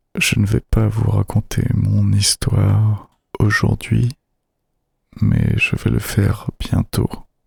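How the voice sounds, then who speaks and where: A soft-spoken man whispers at a very slow pace with very even loudness and long, frequent pauses, in a dry, close sound with no echo. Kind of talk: casual talk to camera. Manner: whispered, soft-spoken.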